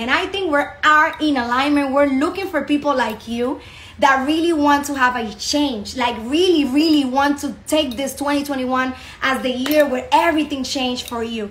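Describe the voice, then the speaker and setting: With a Spanish accent, a woman speaks at a moderate pace with a high pitch and ordinary pitch variation over light background noise. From Dominican Republic. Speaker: network marketing business promoter. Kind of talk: sales pitch. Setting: online video presentation.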